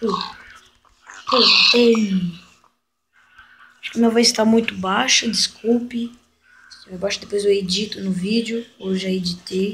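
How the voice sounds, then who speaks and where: A woman talks at a fairly slow pace with long, frequent pauses. Her intonation stays monotone and flat while her loudness swings widely. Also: medium pitch for a woman. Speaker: gaming youtuber. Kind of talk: gameplay commentary. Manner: casual, chatty. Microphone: voice too quiet.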